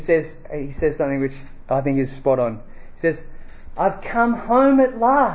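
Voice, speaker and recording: A man with an Australian accent talks at a moderate pace in a fairly high pitch, his voice swinging very widely up and down, with audible echo from the room. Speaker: preacher. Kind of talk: sermon. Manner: halting.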